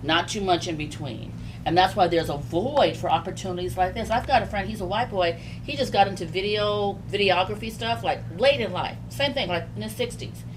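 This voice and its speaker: A woman talks at a fairly quick pace in an animated tone. Music plays in the background, and room echo is audible. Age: 60s. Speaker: business owner. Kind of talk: casual chat.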